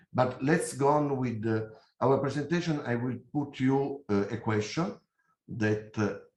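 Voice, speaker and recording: A man speaks with an Italian accent and ordinary pitch variation. His voice is somewhat breathy. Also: medium pitch for a man, fairly slow pace. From Italy. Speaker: company CEO, engineer. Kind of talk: conference presentation. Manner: hesitant, many fillers.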